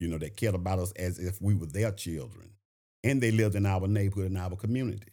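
A man with a Southern US accent talks at a fairly quick pace in a dark, mellow tone, fairly low in pitch with ordinary pitch variation. The recording is very clean, with a silent background. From Shreveport, Louisiana. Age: 70s. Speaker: school board member and retired principal.

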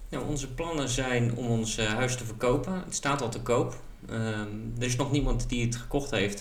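Moderate pace and medium pitch from a man, ordinary pitch variation, and noticeable background noise. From central Netherlands. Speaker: podcast co-host. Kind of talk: casual chat. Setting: at a table with co-host. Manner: hesitant, many fillers.

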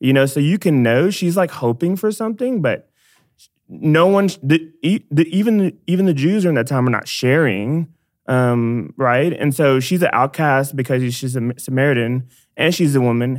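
A man with an American accent speaks in a normal speaking voice at very even loudness, in a very clean recording with a silent background. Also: fairly high pitch for a man, moderate pace. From Dallas, Texas. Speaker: church missions staff member. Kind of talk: casual faith conversation.

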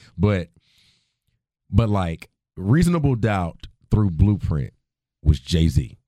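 Over a very slow pace broken by long, frequent pauses, a man speaks with a dark, mellow tone, a very deep, low pitch and lively intonation. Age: 30s. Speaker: podcast host. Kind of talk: casual chat.

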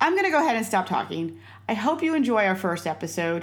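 With vocal fry in her medium-pitched voice, a woman speaks with very wide pitch swings. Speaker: podcast host and improv theater founder. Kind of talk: scripted introduction. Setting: video call. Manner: excited.

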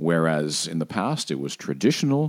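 Very broad pitch swings from a man at a middling speed, on a very clean recording with total background silence. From Puerto Rico. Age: old. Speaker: TV meteorologist. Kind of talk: interview.

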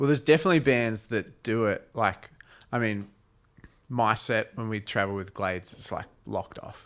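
Speech comes at a moderate pace with ordinary pitch variation over a very clean recording and silent background. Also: man, medium pitch for a man. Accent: Australian. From Australia. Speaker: touring musician and podcast co-host. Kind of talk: casual chat. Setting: studio. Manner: halting.

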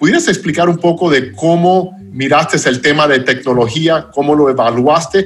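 With an English accent, a man talks at a moderate pace and fairly high pitch, somewhat breathy, with ordinary pitch variation, very even loudness and hardly any pauses. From United States. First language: English (speaking Spanish). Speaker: podcast host. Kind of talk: interview.

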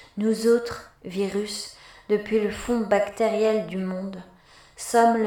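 Very slowly, a woman speaks in a solemn tone with flat, monotone intonation. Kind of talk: dramatic monologue in the voice of a virus, read aloud in French. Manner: solemn, declamatory, accusing, measured.

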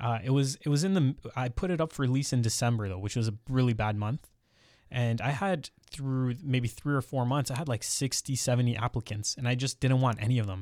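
A fairly quick man with a Canadian accent, medium pitch and ordinary pitch variation, on a very clean recording with a silent background and a dry, close sound with no echo. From Ontario, Canada (Mississauga, Brampton). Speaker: millennial real estate investor and podcaster. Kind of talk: casual interview chat. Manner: articulate, well spoken.

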